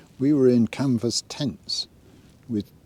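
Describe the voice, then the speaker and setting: A man speaks with a British accent in a relaxed tone. His pitch varies in an ordinary way. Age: 70s. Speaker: outdoor vlogger. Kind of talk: casual vlog monologue. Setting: outdoors.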